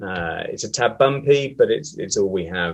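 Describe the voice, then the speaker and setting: A man with a British accent talks with ordinary pitch variation. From UK. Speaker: systems engineer. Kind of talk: webinar presentation.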